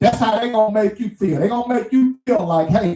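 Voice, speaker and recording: This is a man talking. He speaks with a Mississippi accent. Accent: Southern US (Mississippi). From US South, small town Mississippi. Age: 60s. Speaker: truck driver vlogger. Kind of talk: casual monologue rant.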